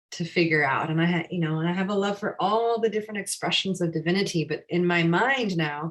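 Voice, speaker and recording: A woman speaks in a General American accent with a plain, everyday voice. Her pitch is fairly low, with ordinary pitch variation. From USA. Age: 40s. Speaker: yoga teacher. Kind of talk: live class discussion.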